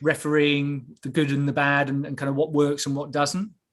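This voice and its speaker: Speaking with an English accent, this man has a fairly high pitch. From England. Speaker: referee development officer. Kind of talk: online presentation. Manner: hesitant, many fillers.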